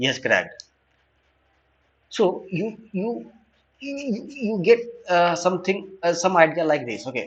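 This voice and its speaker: Speaking at a fairly slow pace with a non-native accent, a man uses a high voice with very wide pitch swings and long, frequent pauses. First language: not English. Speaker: online data science teacher. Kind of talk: tutorial lecture. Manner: halting, many fillers and repetitions.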